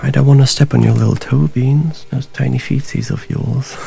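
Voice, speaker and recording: Music behind a man's moderately paced speech. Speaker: actor playing a detective. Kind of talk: noir detective narration, brooding confessional monologue to a cat. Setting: home, rainy night, talking to a pet cat. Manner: rueful, wistful, grief-heavy.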